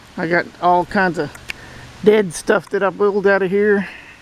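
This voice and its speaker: Very slow speech sounds dry with no echo over light background noise. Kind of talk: casual vlog chat. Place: forest. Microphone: phone near.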